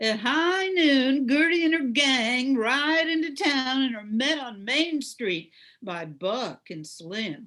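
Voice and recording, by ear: A woman speaks in a put-on character voice, pitched high with a fairly bright tone. Her delivery is slow, with lively intonation.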